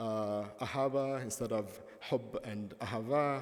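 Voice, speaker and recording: With an Arabic accent and ordinary pitch variation, a man talks amid audible room echo. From Palestine. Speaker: professor. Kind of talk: lecture. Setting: conference stage with audience.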